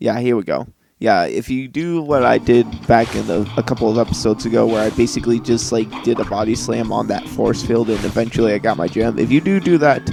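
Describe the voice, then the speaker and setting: A man talks at a fairly quick pace with hardly any pauses. Music plays in the background. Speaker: gaming YouTuber. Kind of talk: let's play commentary. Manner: halting, repeats words. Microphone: mic level low, may seem broken.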